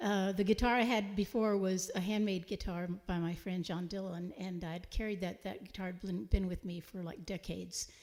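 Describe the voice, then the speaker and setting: A woman with a Texan accent speaks at medium pitch with fairly even intonation and hardly any pauses. The recording is very clean, with a silent background. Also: moderate pace. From Texas, San Antonio. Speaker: singer-songwriter. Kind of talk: live concert banter.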